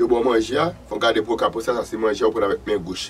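A man speaks at a very fast pace with light background noise behind him. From Haiti. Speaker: vodou practitioner and channel host; channel host. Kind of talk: spiritual teaching monologue. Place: studio.

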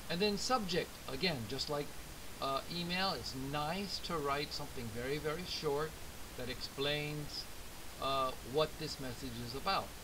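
Over noticeable background noise, a man speaks at a fairly slow pace with ordinary pitch variation. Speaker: English teacher. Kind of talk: lecture. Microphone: webcam.

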